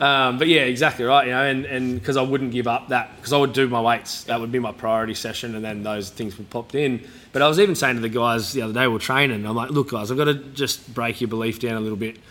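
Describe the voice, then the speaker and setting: Speaking very fast with fairly even intonation, a man talks in an Australian accent. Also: medium pitch for a man, hardly any pauses. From New South Wales, Australia. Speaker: gym owner and former rugby league player. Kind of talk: casual interview. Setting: in-person at his gym.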